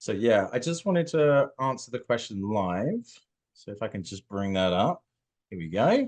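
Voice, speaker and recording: With a British accent, a man at a medium pitch speaks at a moderate pace, making very wide pitch swings and big swings in loudness against a quiet background. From UK. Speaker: social media manager. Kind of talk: webinar Q&A.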